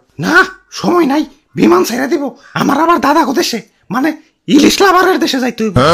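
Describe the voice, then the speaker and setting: This cartoonish character voice is high-pitched and moves at a moderate pace. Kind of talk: comic cartoon voice acting. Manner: hurried, scornful, self-important.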